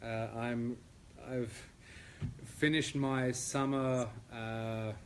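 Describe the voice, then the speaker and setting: Audible room echo surrounds a man speaking at a medium pitch with monotone, flat intonation. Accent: Australian. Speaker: classical pianist. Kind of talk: lecture. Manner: hesitant, many fillers.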